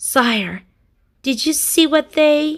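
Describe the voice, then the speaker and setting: A woman's put-on character voice, high in pitch. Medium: read story.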